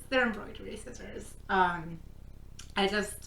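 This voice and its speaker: A woman with a medium pitch talks in an animated tone, with ordinary pitch variation. Noticeable background noise and audible room echo surround her. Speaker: crafting vlogger. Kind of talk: casual vlog talk. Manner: loud. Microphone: no microphone, camera mic.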